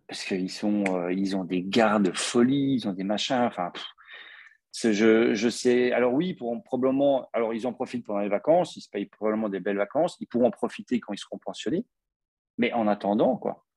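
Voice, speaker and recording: A man's medium-pitched voice with a slight Belgian accent, ordinary pitch variation, a moderate pace, and a dry, close sound with no echo. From Belgium. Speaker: podcast host. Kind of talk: casual interview.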